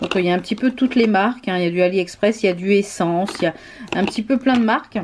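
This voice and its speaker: Her delivery is very fast, from a woman speaking at a medium pitch. The pitch rises and falls in an ordinary way. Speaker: nail art and beauty YouTuber. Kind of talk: show-and-tell tutorial. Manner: hesitant, many fillers.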